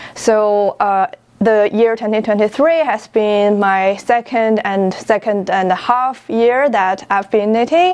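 A woman's very slow speech with ordinary pitch variation against a quiet background. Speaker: knitting podcast host. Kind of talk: casual vlog chat. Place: home room. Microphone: lapel.

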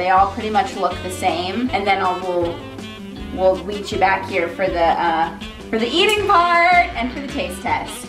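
Moderate-paced speech over clear music in the background. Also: woman. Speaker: food vlogger. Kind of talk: casual vlog chat. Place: kitchen. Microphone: camera far.

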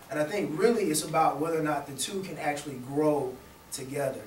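A man with an American accent talks very fast at a fairly high pitch with ordinary pitch variation, with audible room echo and light background noise. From US South. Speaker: youth club director. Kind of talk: panel discussion. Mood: calm, thoughtful. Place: classroom.

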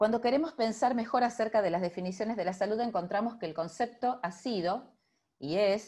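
A woman talks at a fairly quick pace in a dark, mellow tone. The background is quiet. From Argentina, Rosario; Argentina. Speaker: physician and public health professor; university professor presenting. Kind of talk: lecture. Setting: video call. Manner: hesitant, with many fillers. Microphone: video call.

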